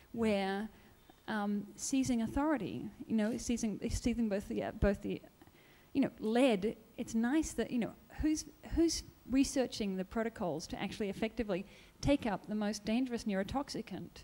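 With an Australian accent, a woman speaks at a moderate pace in a fairly high pitch, her tone dark and mellow and her pitch variation ordinary. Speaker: audience member. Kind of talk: audience Q&A. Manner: animated.

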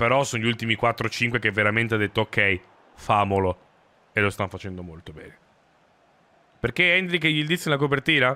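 A man talks at a fairly quick pace in a bright, sharp tone with lively intonation. His loudness swings widely, and he takes long, frequent pauses. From South Tyrol, Italy; Italy. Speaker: gaming streamer. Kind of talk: live gameplay commentary. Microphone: studio mic.

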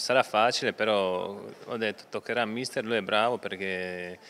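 Light background noise sits behind a man with a fairly low pitch. He speaks at a moderate pace. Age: 30s. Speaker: retiring footballer; interviewee. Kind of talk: interview. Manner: halting, many repetitions. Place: home room. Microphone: handheld.

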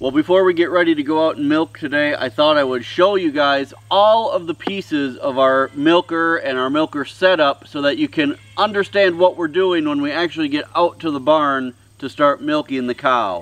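A man speaks at a moderate pace with hardly any pauses and ordinary pitch variation. The sound is dry, with no echo. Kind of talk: tutorial.

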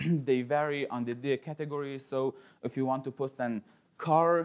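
A man's fairly even intonation over a quiet background. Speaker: conference speaker. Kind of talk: conference talk. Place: classroom.

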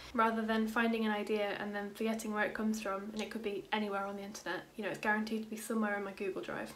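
Light background noise underlies a woman with a Yorkshire accent who talks at a very fast pace in a fairly high pitch with monotone, flat intonation. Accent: British, Yorkshire. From Yorkshire, England. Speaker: law student. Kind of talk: casual talk to camera. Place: home room. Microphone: phone near.

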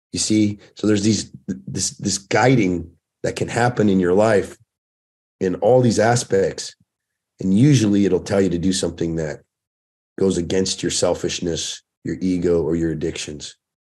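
A man speaks at a moderate pace in an American accent against a quiet background. His voice is very deep and low, with a dark, mellow tone. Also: ordinary pitch variation. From US West Coast, Oceanside, California; California. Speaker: fitness and fatherhood coach, former firefighter; fatherhood coach. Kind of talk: casual chat. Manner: animated. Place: home room. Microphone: webcam.

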